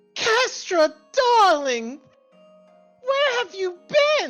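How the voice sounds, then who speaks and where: A female-sounding, squeaky put-on character voice, extremely high in pitch with very wide pitch swings, speaks at a very slow pace over faint background music. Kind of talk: prim, proper, affectionate. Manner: fussy and doting.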